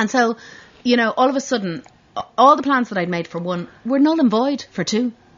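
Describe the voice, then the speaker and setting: Lively in intonation, a woman with a high pitch speaks at a fairly quick pace in a Dublin accent. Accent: Irish (Dublin). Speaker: fashion designer. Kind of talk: casual interview.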